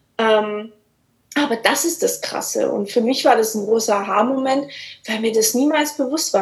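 A woman's high-pitched voice moves fairly slowly. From Swabia, Germany. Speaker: life coach. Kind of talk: casual interview.

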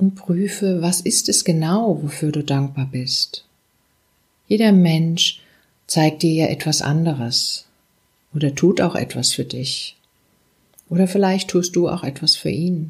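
Very slowly and with long, frequent pauses, a woman speaks in a calm, soothing tone, somewhat breathy, her fairly low pitch showing ordinary variation. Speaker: meditation guide. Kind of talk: guided meditation. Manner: slow, calm, soothing, with long pauses; gentle, warm, intimate, addressing listener as du.

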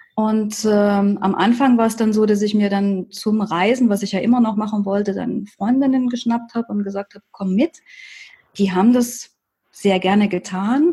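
Her voice fairly high-pitched, dark and mellow, and somewhat breathy, a woman speaks at a moderate pace with fairly even intonation. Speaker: life coach. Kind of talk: interview.

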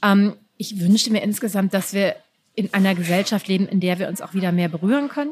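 This woman has an ordinary speaking voice at medium pitch. She talks at a fairly quick pace with ordinary pitch variation. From Düsseldorf, Germany. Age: 40s. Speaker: writer. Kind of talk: interview.

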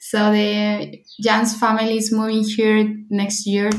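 A fairly high-pitched, somewhat breathy woman's voice in a Spanish accent, with audible room echo. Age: 30s. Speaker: bride-to-be. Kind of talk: interview.

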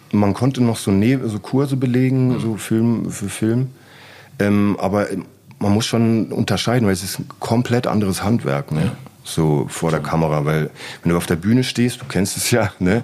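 Noticeable background noise sits behind a man with a fairly low pitch. He talks at a moderate pace with lively intonation. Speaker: graffiti artist. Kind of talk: casual chat. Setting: studio.

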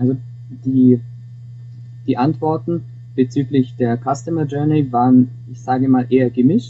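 A man with a medium pitch talks at a moderate pace in a monotone, flat intonation, leaving long, frequent pauses. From Augsburg, Bavaria (Swabia), Germany. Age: 20s. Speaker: student and intern. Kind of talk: interview. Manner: halting, frequent repetitions.

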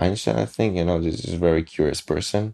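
In a very deep, low pitch, a man speaks with a dark, mellow tone and lively intonation. He has a non-native accent and keeps a moderate pace. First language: not English. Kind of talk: casual interview. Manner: halting.

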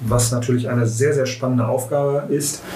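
A man at a moderate pace in a monotone, flat delivery, with noticeable background noise and audible room echo. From Mülheim an der Ruhr, Germany. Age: 40s. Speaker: teacher and local education politician. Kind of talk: casual political chat. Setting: room with masks and ventilation on.

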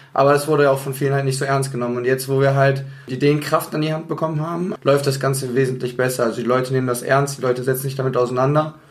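A man talks very fast with hardly any pauses, in a fairly high pitch. His intonation is monotone and flat, and background noise is noticeable. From Bonn, Rhineland, Germany. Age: 20s. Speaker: amateur football team captain. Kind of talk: casual interview.

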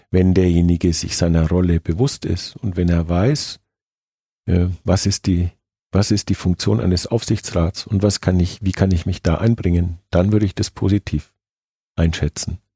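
A man speaks at a very deep, low pitch in a dark, mellow, somewhat breathy tone, with ordinary pitch variation and very even loudness at a moderate pace. The recording is very clean, dry and close, with a silent background and no echo. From Nuremberg, Franconia, Germany. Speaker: football club supervisory board chairman. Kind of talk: interview.

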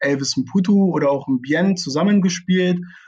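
At a moderate pace, an unremarkable speaking voice shows ordinary pitch variation. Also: man. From Lower Saxony, Germany (Braunschweig). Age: 20s. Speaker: amateur football club director. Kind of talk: interview. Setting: video call from home.

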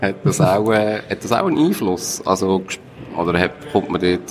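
A man's voice over noticeable background noise. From Switzerland. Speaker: radio host. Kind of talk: scripted intro.

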